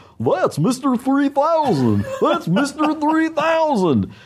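A man uses a put-on character voice with an extremely high pitch. He speaks at a very slow pace. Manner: goofy.

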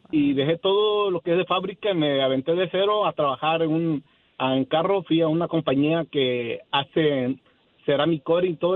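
Using a plain, everyday voice, a man talks with ordinary pitch variation at a fairly high pitch. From Mexico, Acapulco. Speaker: caller, small business owner. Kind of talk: phone call-in. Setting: phone call.

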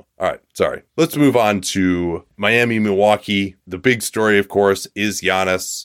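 A man with an unremarkable speaking voice talks fairly slowly at a fairly low pitch, with ordinary pitch variation. He hardly pauses, and the sound is dry and close with no echo. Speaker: basketball podcast host. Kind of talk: sports commentary.

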